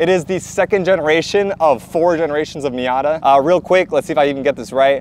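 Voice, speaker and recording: The speech comes at a very fast pace with hardly any pauses and ordinary pitch variation. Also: man, fairly high pitch for a man. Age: 20s. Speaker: car enthusiast YouTuber. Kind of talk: casual car review. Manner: casual, hesitant with fillers.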